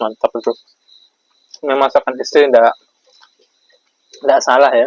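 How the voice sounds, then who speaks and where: The voice comes with a Sulawesi accent. The sound is dry and close, with no echo. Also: man, moderate pace. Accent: Sulawesi accent rather than Javanese. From Java, Indonesia. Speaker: vlogger, transmigrant farmer. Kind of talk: casual Q&A vlog. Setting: at home at iftar meal.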